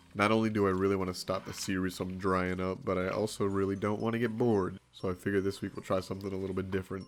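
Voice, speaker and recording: Very fast and monotone, a man talks with flat intonation at a very deep, low pitch. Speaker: gaming video creator. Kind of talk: gameplay commentary. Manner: casual.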